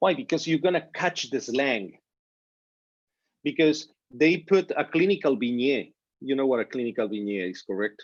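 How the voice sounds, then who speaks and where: Lively in intonation, a man with a Spanish accent speaks at a fairly high pitch and leaves long, frequent pauses. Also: moderate pace. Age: 50s. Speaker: physician. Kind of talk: informal talk to students. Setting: video call. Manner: animated.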